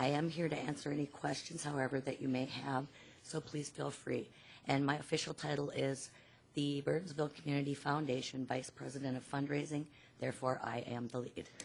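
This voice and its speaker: A woman with a very deep, low voice speaks in a monotone, flat way, leaving long, frequent pauses. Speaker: nonprofit fundraising executive. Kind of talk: public meeting remarks. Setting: city commission meeting.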